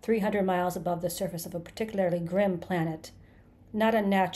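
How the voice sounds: A natural reading voice moves along with fairly even intonation.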